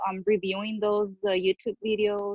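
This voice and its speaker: At a moderate pace, a woman with a medium pitch speaks with a Spanish accent. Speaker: social worker studying for licensing exam. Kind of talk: casual chat. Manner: halting.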